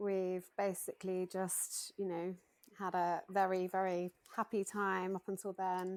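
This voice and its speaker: A woman with a British accent at a medium pitch and fairly slow pace, monotone and flat, in a dry, close sound with no echo and a very clean recording with a silent background. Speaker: bereaved mother sharing her story. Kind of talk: testimony.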